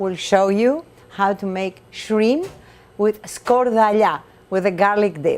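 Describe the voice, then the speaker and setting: With a Greek accent, the speaker uses lively intonation at a very slow pace. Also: woman. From Greece. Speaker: chef and restaurant owner. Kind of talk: cooking demonstration. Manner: animated.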